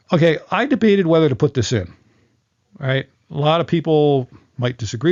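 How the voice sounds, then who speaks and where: This man has a fairly high voice. His intonation is lively. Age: 60s. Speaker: live sound engineer. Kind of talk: tutorial. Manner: halting, with many fillers and repeats.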